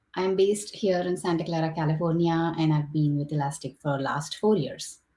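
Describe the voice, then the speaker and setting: This woman's fairly low voice is somewhat breathy, with a dark, mellow tone. She talks at a fairly quick pace with fairly even intonation. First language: not English. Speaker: engineering director moderating a panel. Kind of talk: webinar panel moderation. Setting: online livestream with chat.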